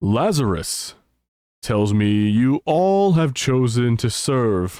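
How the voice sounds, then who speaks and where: Booming and very slow, a man's put-on character voice sits at a medium pitch and swings very widely up and down. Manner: commanding, authoritative.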